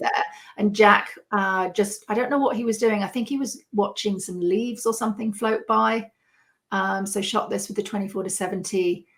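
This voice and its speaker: A woman with a British accent at medium pitch, moderate pace and fairly even intonation, on a very clean recording with a silent background. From United Kingdom. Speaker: landscape photographer. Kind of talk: podcast interview answer.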